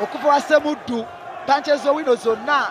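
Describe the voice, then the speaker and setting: Over noticeable background noise, a man with a Ugandan accent speaks at an extremely high pitch. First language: Luganda. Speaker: boxing commentator. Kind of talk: live ringside boxing commentary, rapid blow-by-blow code-switching Luganda and English. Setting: ringside at a live boxing event. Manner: excitable, punctuating punches with shouted hey exclamations; fast, clipped bursts calling each punch as it lands.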